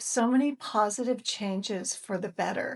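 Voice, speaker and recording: Against a quiet background, a woman uses an ordinary speaking voice, fairly high in pitch with ordinary pitch variation, at a fairly slow pace. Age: 60s. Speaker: fitness vlogger. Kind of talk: casual vlog. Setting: outdoors.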